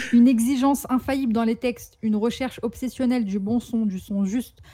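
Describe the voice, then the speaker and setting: Somewhat breathy, with a dark, mellow tone, the voice keeps fairly even intonation at a moderate pace. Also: woman. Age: 20s. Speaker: photographer and rap commentator. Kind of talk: scripted narration. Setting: remote connection.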